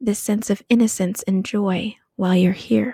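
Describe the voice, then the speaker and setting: At a fairly slow pace, the voice carries a gentle, soothing tone over a very clean recording with a silent background. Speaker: podcast host. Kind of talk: guided meditation, then talk. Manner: slow, soothing, calm; gentle, dreamy, unhurried.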